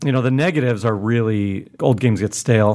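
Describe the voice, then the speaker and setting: A man's plain, everyday voice, fairly quick in pace, with ordinary pitch variation. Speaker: board game podcast co-host. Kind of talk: casual chat.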